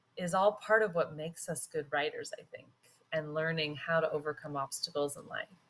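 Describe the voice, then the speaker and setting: The pace is moderate and the intonation fairly even. It is an unremarkable speaking voice. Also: woman. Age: 40s. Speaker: guest podcast host and writer. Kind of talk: interview chat.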